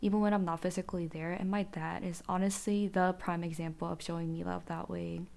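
A woman with a Korean accent at a moderate pace. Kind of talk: solo monologue podcast. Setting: home recording with podcast mic. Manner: laughs often.

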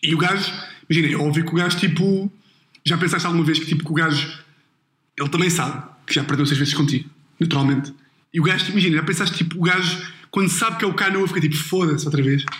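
Speaking at a very fast pace with long, frequent pauses, a man holds a very even loudness at a fairly high pitch. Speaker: podcast host. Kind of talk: casual chat. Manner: animated, laughing.

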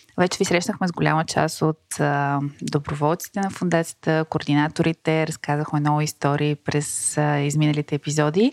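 Moderate pace, fairly even intonation and very even loudness with hardly any pauses, all dry and close with no echo. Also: woman, very deep, low pitch for a woman. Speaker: podcast host. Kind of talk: interview.

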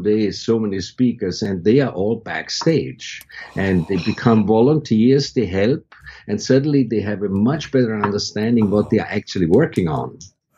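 Dark, mellow tone from a man with a fairly low pitch and ordinary pitch variation. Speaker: university creative director and faculty advisor. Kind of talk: interview conversation. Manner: slower speech.

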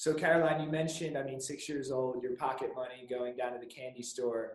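A man talks fairly quickly at a medium pitch. His intonation is fairly even, and he has a plain, everyday voice. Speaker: podcast host. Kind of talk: podcast interview, conversational.

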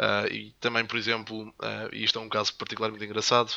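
The man's voice has a bright, sharp tone. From Madeira, Portugal. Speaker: podcast co-host. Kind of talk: casual chat.

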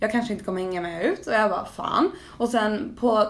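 A woman speaks at a fairly quick pace. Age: 18. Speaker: podcast co-host. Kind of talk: casual chat.

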